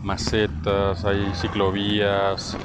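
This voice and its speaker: The man's voice sits at a fairly low pitch. Noticeable background noise and audible room echo surround it. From Mexico, Bajío (Irapuato). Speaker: podcaster, designer. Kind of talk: casual monologue while walking. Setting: outdoors, city plaza at night.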